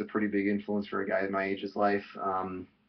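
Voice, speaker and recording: Speaking at a fairly quick pace, a man with a Chicago accent has a fairly low pitch. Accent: Chicago-area American. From US Midwest, Chicago suburbs. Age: 20s. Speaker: vlogger. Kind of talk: casual vlog monologue. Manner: halting, many fillers.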